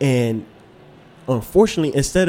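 Music plays in the background while a man speaks at a fairly quick pace. His pitch is medium, with ordinary variation. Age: young. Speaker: podcast co-host. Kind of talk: casual chat.

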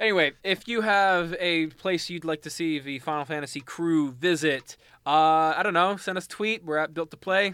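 In a Canadian accent, a man talks at a moderate pace and a high pitch with ordinary pitch variation and hardly any pauses. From Mississauga, Ontario, Canada. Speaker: podcast host. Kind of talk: casual chat, video game talk.

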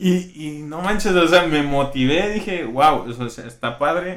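In a room with audible echo, a man talks at a fairly slow pace. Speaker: UX designer. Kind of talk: casual interview. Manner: loud.

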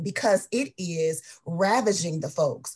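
Her voice sits at a medium pitch and sounds somewhat breathy. The woman's intonation is lively. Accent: American. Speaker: mental health advocate. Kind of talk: community panel discussion.

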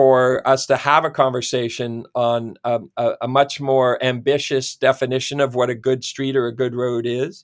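A man with a Canadian accent at medium pitch and moderate pace, monotone and flat, on a very clean recording with a silent background. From Ontario, Canada. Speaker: city planner. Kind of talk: interview.

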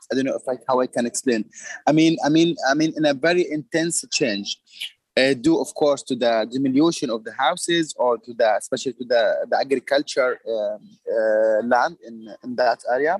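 Recorded dry and close with no echo, a man with an Arabic accent speaks at a fairly high pitch and moderate pace with ordinary pitch variation. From Palestine. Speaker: artist. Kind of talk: casual chat. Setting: video call. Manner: halting.

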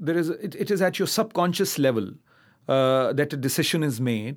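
In a Pakistani accent, a man speaks at a moderate pace with lively intonation and very even loudness, recorded very cleanly against a silent background. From Pakistan, Karachi. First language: Urdu. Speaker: poet. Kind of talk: interview. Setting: stage with audience. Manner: halting, many fillers and repetitions.

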